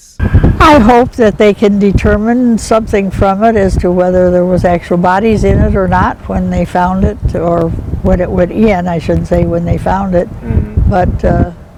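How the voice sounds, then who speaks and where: A woman keeps a moderate pace while noticeable background noise carries on around her. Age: 80s+. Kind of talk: interview answer.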